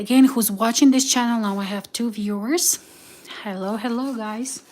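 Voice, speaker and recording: A woman at a fairly high pitch in a Slavic accent, with ordinary pitch variation, a moderate pace and noticeable background noise. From Ukraine. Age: 30s. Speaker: vlogger. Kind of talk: cooking livestream. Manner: halting.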